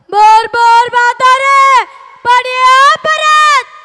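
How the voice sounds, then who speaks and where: A cartoonish character voice is pitched extremely high. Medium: puppet show. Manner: gruff, menacing.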